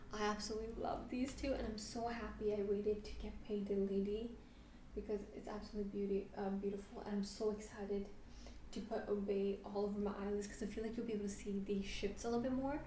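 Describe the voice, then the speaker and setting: Over noticeable background noise and audible room echo, a woman speaks very fast at a medium pitch in a monotone, flat intonation. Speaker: beauty youtuber. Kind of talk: product review vlog.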